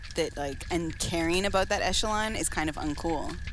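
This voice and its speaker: A woman speaks with music in the background. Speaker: podcast co-host. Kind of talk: casual chat.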